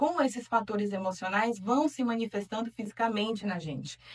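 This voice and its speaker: At a moderate pace, a woman talks somewhat breathily, her fairly high pitch varying in an ordinary way. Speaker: talk show host. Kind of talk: talk show discussion. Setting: studio.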